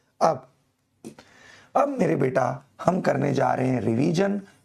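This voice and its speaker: An animated man's voice, fairly high in pitch, with vocal fry. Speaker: chemistry teacher. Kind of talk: online class lecture. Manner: slow, deliberate; animated, informal.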